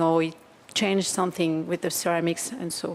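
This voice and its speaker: A woman speaks in a French accent. Her pace is moderate. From France. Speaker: audience member, kinesiologist. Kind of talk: audience question. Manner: halting.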